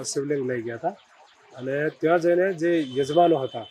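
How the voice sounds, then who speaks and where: A fairly high male voice with ordinary pitch variation over noticeable background noise. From Banaskantha, Gujarat. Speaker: temple head priest, religious leader. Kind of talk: interview.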